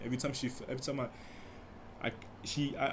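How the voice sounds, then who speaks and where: A man speaks at a fairly quick pace. There is audible room echo. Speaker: podcast host. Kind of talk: casual monologue. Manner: soft-spoken; halting.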